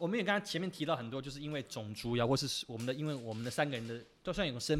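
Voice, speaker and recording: A man talks at a very fast pace, medium in pitch, with lively intonation. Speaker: podcast host. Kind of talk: casual chat.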